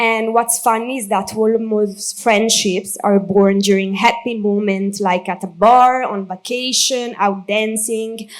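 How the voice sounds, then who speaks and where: A woman speaks at a very slow pace in a strong Italian accent. Her voice is fairly high, with fairly even intonation. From Italy. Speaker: maid of honor. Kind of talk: wedding speech read from notes. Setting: wedding reception.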